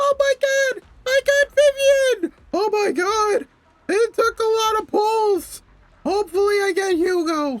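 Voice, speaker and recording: An extremely high-pitched put-on character voice at a fairly slow pace. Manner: excited, exaggerated.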